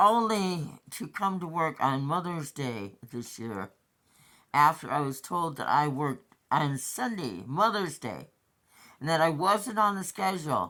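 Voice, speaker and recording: A woman's very deep, low voice with a bright, sharp tone, very wide pitch swings and a fairly slow pace, on a very clean recording with a silent background. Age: 60s. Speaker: vlogger. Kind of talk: personal rant monologue. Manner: agitated.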